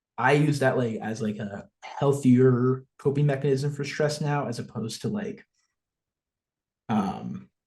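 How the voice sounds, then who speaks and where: Speaking at a fairly slow pace, a man with a slight New Jersey accent sounds somewhat breathy and uses lively intonation. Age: 20s. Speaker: social media influencer. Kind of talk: casual chat.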